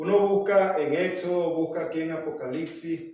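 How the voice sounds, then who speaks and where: Room echo is audible as a man speaks at a high pitch. His pace is very slow. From Venezuela. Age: 70s. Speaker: Bible teacher. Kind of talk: Bible study lecture.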